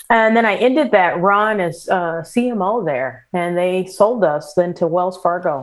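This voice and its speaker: A woman with a medium pitch talks at a very slow pace, her pitch varying in an ordinary way. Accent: American. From US Midwest, St. Louis area, Missouri. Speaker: business executive. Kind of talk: interview.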